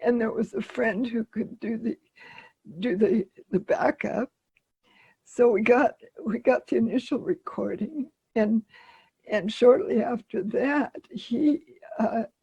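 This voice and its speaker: A woman speaks at a fairly slow pace with long, frequent pauses and lively intonation. Her voice has a fairly high pitch and a dark, mellow tone, with a dry, close sound and no echo. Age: 80s+. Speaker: musician and activist. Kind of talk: interview answer.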